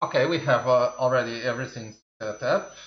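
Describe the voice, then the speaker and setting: The intonation here is lively. The speaker is a man. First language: Portuguese. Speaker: tech reviewer. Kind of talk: product review. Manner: halting.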